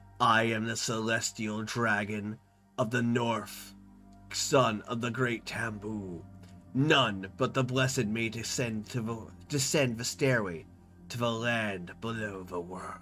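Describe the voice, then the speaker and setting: Using a put-on character voice at medium pitch, a man speaks fairly slowly as faint music plays in the background. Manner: booming, ominous.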